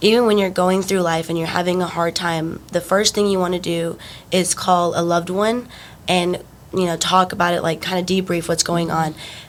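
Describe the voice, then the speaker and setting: With noticeable background noise behind her, a woman talks in a flat monotone at a moderate pace and a fairly low pitch. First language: Spanish. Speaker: university student athlete. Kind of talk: podcast interview. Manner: hesitant, many fillers.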